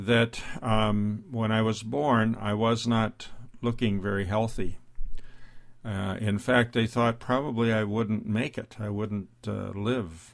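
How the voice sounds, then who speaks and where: A man's fairly low voice, very slow and fairly even in intonation, on a very clean recording with a silent background. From US Midwest, South Dakota. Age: 70s. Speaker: grandfather podcaster. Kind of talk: personal storytelling monologue. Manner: halting, frequent fillers.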